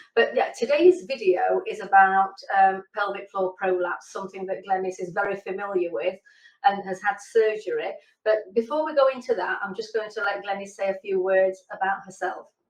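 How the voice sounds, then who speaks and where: An ordinary speaking voice at a moderate pace, with ordinary pitch variation. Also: woman, medium pitch for a woman. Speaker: naturopath. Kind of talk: casual interview, asking questions.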